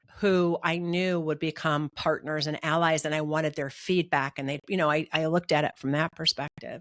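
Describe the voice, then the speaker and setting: A woman speaks in a plain, everyday voice at a moderate pace, her fairly low pitch and fairly even intonation captured in a very clean, dry, close recording with a silent background and no echo. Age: 60s. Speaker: executive coach. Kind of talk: casual chat. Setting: podcast interview.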